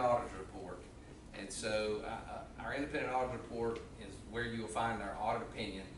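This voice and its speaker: Speech at a fairly quick pace comes through audible room echo and noticeable background noise. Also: man. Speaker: auditor. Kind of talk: presentation at a public meeting. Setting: county commission meeting room. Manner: loud.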